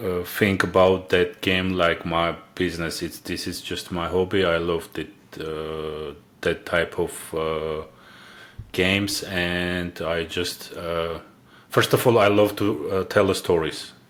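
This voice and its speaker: In an Armenian accent, a man speaks at a very slow pace with a very deep, low pitch. His intonation is monotone and flat. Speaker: indie game developer. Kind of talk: interview. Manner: halting, many filler sounds.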